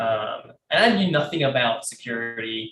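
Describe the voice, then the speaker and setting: A London accent comes through. The voice is a man's. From London, England. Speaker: cybersecurity professional, panelist. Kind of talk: panel discussion. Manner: halting, repeats words.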